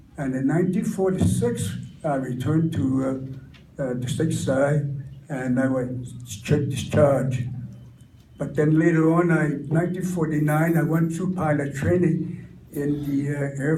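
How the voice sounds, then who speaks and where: With an American accent, a man talks fairly slowly at a fairly high pitch and ordinary pitch variation, and the room echo is audible. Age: 90s. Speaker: war veteran. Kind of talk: testimony. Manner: halting.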